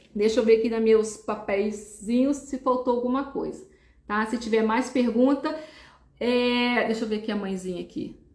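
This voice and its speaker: A woman with a normal speaking voice, fairly high in pitch, at a moderate pace. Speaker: neuropsychologist. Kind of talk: live stream talk.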